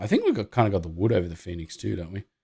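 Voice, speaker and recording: With an Australian accent, a man speaks at a very deep, low pitch in a very clean recording with a silent background. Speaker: basketball podcast host. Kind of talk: casual chat. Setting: live stream.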